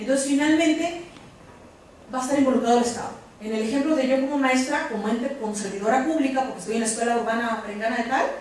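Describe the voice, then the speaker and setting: Amid noticeable background noise and audible room echo, a woman with a high pitch and ordinary pitch variation talks at a very fast pace. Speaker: lecturer on human rights, lawyer. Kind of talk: lecture. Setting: conference with live audience.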